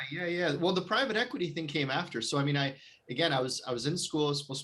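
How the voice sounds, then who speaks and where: With a Canadian accent, a man talks with ordinary pitch variation. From Canada. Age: 30s. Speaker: real estate investor. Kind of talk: podcast interview. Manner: halting, many repeated words.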